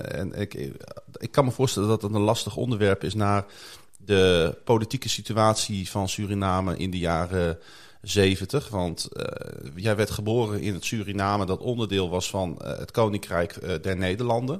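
A man talks at a moderate pace with a fairly low pitch in an unremarkable speaking voice. The recording is very clean, with a silent background. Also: ordinary pitch variation. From Netherlands, Groningen. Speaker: church podcast host. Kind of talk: casual interview. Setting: studio.

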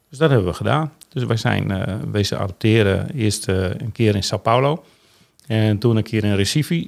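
A man's fairly low voice with lively intonation and vocal fry, at a moderate pace, on a very clean recording with a silent background. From Netherlands, Groningen (Veendam). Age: 60s. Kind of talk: casual chat. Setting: studio.

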